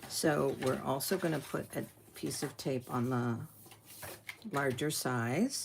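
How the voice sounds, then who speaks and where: A woman speaks at a very slow pace with vocal fry. Her pitch is very deep and low. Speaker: papercraft tutorial host. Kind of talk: tutorial. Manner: casual.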